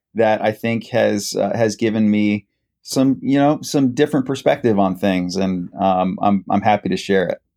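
Over a quiet background, a man with a Midwestern US accent speaks in a dark, mellow tone at a moderate pace, with ordinary pitch variation. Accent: US Midwest. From Columbus, Ohio (Worthington). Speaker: nonprofit director. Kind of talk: radio interview.

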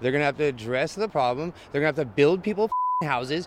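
In an American accent, a man with a fairly high pitch talks at a very fast pace. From Northern California. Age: 30s. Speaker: homeless camp resident. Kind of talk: street interview. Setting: outdoors.

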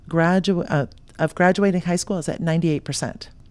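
A woman with an American accent speaks in an unremarkable speaking voice, at a fairly low pitch and a moderate pace. Her intonation is fairly even, and the recording is very clean with a silent background. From South Florida. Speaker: entrepreneur, founder of a consulting company. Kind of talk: podcast interview.

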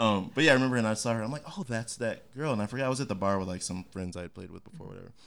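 This man speaks at a very fast pace with hardly any pauses. His medium pitch shows ordinary variation. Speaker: podcast host. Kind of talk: casual interview chat.

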